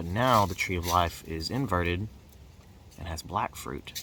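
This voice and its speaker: A man's very deep, low voice with vocal fry, bright and sharp in tone, lively in intonation, at a fairly slow pace. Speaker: video essayist analyzing own D&D campaign. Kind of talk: casual analytical monologue. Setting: outdoors.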